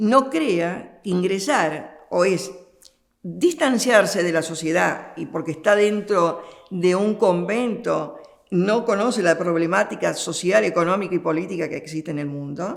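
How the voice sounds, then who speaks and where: Fairly slow, fairly low-pitched speech from a woman, its pitch varying in an ordinary way. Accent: Argentine. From Argentina. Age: 70s. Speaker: nun. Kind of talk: interview. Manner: hesitant, with fillers.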